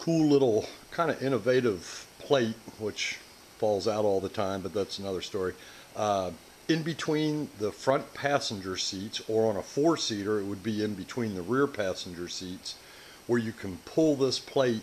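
A man speaks at a moderate pace in a fairly low pitch. Light background noise is present. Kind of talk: tutorial. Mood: relaxed, mildly humorous. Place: workshop.

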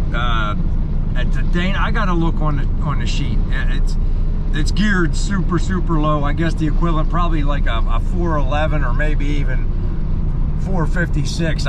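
There is loud background noise behind this voice. A man speaks at a moderate pace. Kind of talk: casual vlog chat. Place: car. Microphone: phone near.

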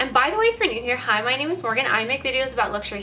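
The voice swings very widely in pitch and moves at a very fast pace over light background noise. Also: woman. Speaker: fashion vlogger. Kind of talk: casual vlog chat. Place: home room.

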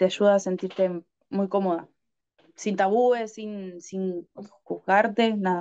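A woman speaks very slowly in a Rioplatense accent. Her tone is dark and mellow, her intonation flat and monotone. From Argentina. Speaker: adult content creator. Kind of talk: interview. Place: home room. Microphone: video call.

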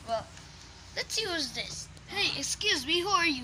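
Over clear background noise, a woman performs a put-on character voice at an extremely high pitch. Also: moderate pace. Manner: puppet-like, playful.

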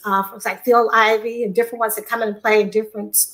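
A woman speaks in a fairly high pitch. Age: 60s. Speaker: weight-loss program participant. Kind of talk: casual interview chat. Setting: video call.

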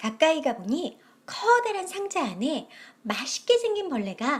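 Very slow speech from a woman, full of very wide pitch swings. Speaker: storyteller. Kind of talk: children's story reading.

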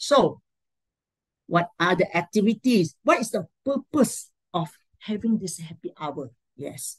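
In a Malaysian accent, a woman talks at a fairly slow pace with long, frequent pauses and a somewhat breathy sound. Her pitch swings very widely, and the background is quiet. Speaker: education administrator; presenter. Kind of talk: talk sharing. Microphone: video call.

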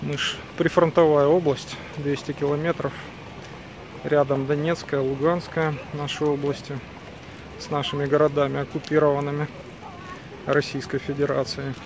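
A man's fairly high voice at a moderate pace, with monotone, flat intonation, long, frequent pauses, a dry sound with no echo and noticeable background noise. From Ukraine. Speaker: video blogger. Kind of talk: casual vlog walk-and-talk. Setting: outdoors. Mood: bitter in parts. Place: street. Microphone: phone near.

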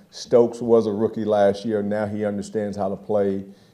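The voice is a man's, dark and mellow in tone. His pitch sits fairly low. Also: quiet background. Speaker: football position coach. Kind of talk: press conference answer. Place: hall. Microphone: podium.

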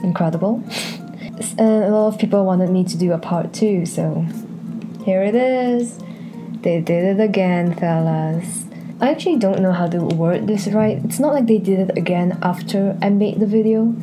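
A woman at a moderate pace, ordinary pitch variation, with music in the background. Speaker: artist commentary youtuber. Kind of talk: casual vlog chat. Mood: sarcastic, annoyed but playful. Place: home room. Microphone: handheld.

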